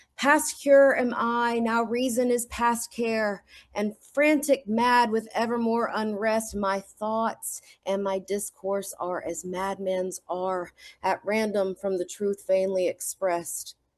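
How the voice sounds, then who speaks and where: Speaking at a very slow pace in a Southern accent, a woman uses a fairly high pitch with ordinary pitch variation. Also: quiet background. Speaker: amateur sonnet reader. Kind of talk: reading aloud.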